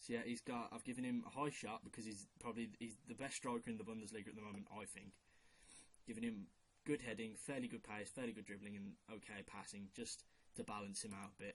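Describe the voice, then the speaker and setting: A man talks at a very fast pace in a strong Brummie accent. His medium-pitched voice stays monotone and flat. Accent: strong Brummie (Birmingham). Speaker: football video maker. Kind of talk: casual commentary on a fantasy team. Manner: casual, hesitant with fillers. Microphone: quiet recording.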